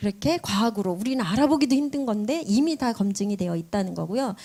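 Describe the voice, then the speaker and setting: On a very clean recording with a silent background, a woman talks very fast in a somewhat breathy, dark, mellow voice at a fairly high pitch with lively intonation. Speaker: business presenter. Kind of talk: sales pitch.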